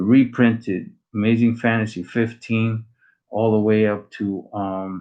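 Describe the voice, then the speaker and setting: Delivered in a Spanish accent, the speech is monotone and flat, moving at a fairly slow pace. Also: man, medium pitch for a man. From Latin America. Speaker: comic collector YouTuber. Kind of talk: casual live stream chat. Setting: small room at home. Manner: casual, halting with fillers.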